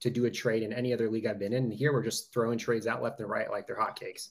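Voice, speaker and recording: This man's voice comes across as somewhat breathy. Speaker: youth football club owner. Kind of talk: casual chat.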